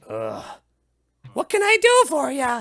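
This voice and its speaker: A put-on character voice comes through at a high pitch. The words are mumbled. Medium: actual play. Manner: grumbling, mumbling.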